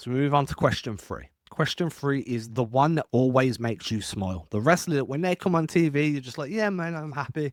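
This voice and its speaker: A man's fairly high voice, fairly quick with hardly any pauses and lively intonation, on a very clean recording with a silent background. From England. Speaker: wrestling podcaster. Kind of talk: solo podcast commentary. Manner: casual.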